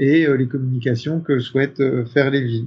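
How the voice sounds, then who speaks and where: A man's somewhat breathy, fairly high-pitched voice. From northern France (Picardy). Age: 50s. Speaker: company executive. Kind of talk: interview. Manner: hesitant, many fillers.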